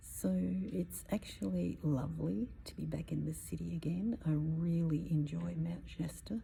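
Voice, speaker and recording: The voice is soft-spoken. Every word comes out in a whisper. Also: woman. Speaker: spiritual personal development coach. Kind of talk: casual vlog talk. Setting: inside a cathedral. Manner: whispering, soft-spoken.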